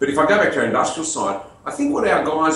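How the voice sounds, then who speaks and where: In an Australian accent, a man talks amid noticeable background noise and audible room echo. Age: 50s. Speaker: business owner. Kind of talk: interview.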